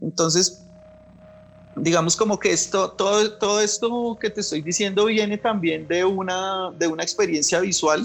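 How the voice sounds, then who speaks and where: A man speaks in a high voice at a moderate pace. His intonation is fairly even. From Bogotá, Colombia. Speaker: visual artist. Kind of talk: interview. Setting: remote from his studio. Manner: halting, many fillers and repetitions.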